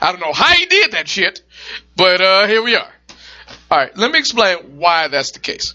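A man with a high pitch and lively intonation speaks at a moderate pace, his loudness swinging widely between long, frequent pauses. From Detroit, US. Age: 30s. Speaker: podcast host. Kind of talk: casual chat.

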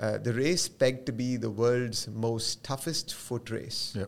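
A man with an unremarkable speaking voice at medium pitch, ordinary pitch variation and a moderate pace, on a very clean recording with a silent background. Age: 40s. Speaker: financial advisor. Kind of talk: interview.

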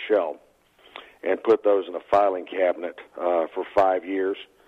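This is a man talking in a Texan accent. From Texas. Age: 50s. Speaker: trucking company president. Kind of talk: casual interview.

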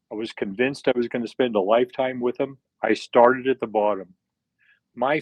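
This man has a plain, everyday voice with an American accent, pitched in the medium range. His pitch varies in an ordinary way. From US, southern Utah. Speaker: retired business executive. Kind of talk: interview testimony.

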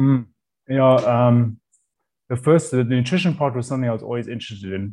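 Speaking at a fairly quick pace, a man uses a medium pitch with ordinary variation and a dark, mellow tone. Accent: South African. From South Africa, Cape Town. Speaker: chef. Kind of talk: casual chat.

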